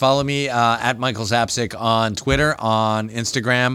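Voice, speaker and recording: In a New Jersey accent, a man speaks with an animated, bright and sharp tone in a very clean recording with a silent background. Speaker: comic book store manager. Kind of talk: casual chat. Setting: retail store, live stream.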